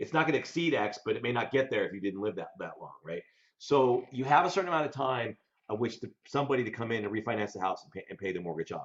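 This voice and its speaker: Talking very fast with lively intonation and big swings in loudness, a man with an American accent speaks at a medium pitch. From Colorado, US. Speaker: debt collection legal veteran, mortgage investor. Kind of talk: casual interview.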